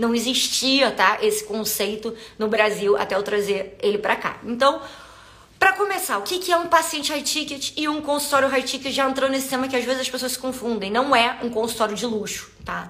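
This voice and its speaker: Animated in tone and lively in intonation, the speaker keeps a moderate pace amid noticeable background noise and audible room echo. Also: woman, high pitch for a woman. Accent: Carioca. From Rio de Janeiro, Brazil. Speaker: podcast host, business coach for health professionals. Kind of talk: live stream monologue. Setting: live stream on social media.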